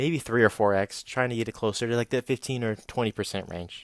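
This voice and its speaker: A man's ordinary speaking voice at medium pitch, fairly quick pace and ordinary pitch variation, in a dry, close sound with no echo. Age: 20s. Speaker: personal finance vlogger. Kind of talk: scripted narration.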